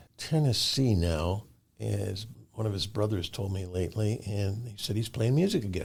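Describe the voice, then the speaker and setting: Speaking at a fairly slow pace, a man with an American accent has a fairly low, somewhat breathy voice and ordinary pitch variation. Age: 70s. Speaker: musician. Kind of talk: interview. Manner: halting.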